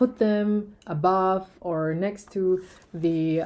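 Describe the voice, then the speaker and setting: With a non-native accent, a woman speaks at a medium pitch and ordinary pitch variation. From Germany. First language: German. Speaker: tech YouTuber. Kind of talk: product review. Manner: hesitant, many fillers.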